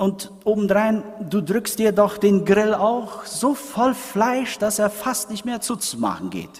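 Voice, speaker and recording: There's noticeable background noise as a man talks very slowly at a high pitch, keeping his intonation fairly even. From Paraguay. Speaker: preacher. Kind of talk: sermon. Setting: church. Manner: didactic, explanatory, moves from history to pointed rhetorical question; earnest, conversational, addressing congregation as 'euch'.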